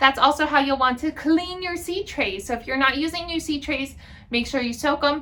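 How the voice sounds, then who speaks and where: Raised and projected, a woman's high-pitched voice moves at a moderate pace with ordinary pitch variation. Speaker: gardening channel host. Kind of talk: tutorial. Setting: greenhouse.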